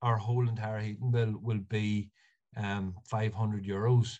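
A man with an Ulster accent speaks at a medium pitch, somewhat breathy and fairly slow, in a monotone, flat intonation. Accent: Ulster Irish (Monaghan). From Ireland, north County Monaghan. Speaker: architectural technologist. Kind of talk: casual interview.

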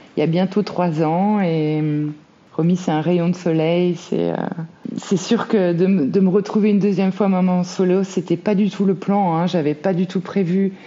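Flat, monotone intonation marks this woman's speech. She talks at a medium pitch and a fairly slow pace. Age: 30s. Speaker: single mother sharing her story. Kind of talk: interview testimony. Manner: hesitant, many fillers.

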